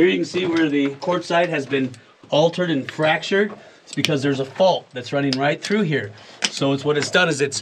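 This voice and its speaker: Noticeable background noise is audible. A man speaks at a fairly quick pace. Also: ordinary pitch variation. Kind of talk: explanatory commentary. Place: tunnel cave.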